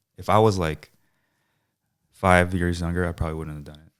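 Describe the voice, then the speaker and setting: A soft-spoken man with a very deep, low pitch at a very fast pace, on a very clean recording with a silent background. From San Francisco Bay Area. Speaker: DJ. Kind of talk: interview answer. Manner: soft-spoken, laid back.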